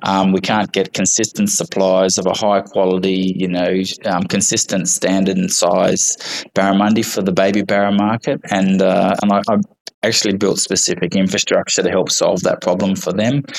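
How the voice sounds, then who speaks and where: Speaking with an Australian accent, a man delivers his words in a flat monotone at a fairly low pitch and very even loudness, over noticeable background noise. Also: moderate pace. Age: 40s. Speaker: fish farmer. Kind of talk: interview. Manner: halting.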